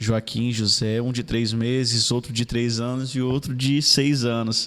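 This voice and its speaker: A man at a medium pitch and a fairly slow pace, an ordinary speaking voice. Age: 30s. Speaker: city councillor. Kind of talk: casual interview.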